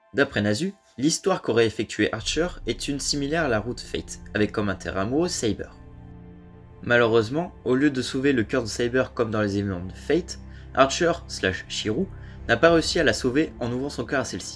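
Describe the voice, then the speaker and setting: Music plays in the background. The speaker talks at a fairly quick pace with lively intonation. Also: man, medium pitch for a man. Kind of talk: video essay narration.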